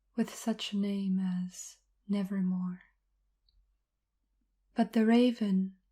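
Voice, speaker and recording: This soft-spoken voice has a calm tone and moves at a very slow pace. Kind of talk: ASMR poetry reading. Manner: soft-spoken, calm.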